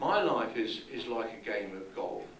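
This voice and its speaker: Against noticeable background noise and audible room echo, a man with a British accent talks at a fairly slow pace. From England. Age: 70s. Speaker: conference speaker. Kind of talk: keynote talk. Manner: hesitant, with repetitions.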